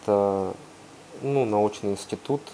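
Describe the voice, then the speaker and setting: A man's fairly low voice with fairly even intonation over light background noise. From Russia. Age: young. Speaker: volcanologist. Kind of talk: guest talk and Q&A answers. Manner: hesitant, casual. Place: classroom. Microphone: lapel.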